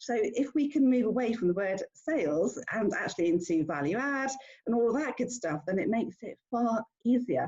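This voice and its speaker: A woman with a fairly high pitch speaks at a moderate pace, her pitch swinging very widely. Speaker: business owner hosting a networking meetup. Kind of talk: online meeting introduction. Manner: halting, many fillers.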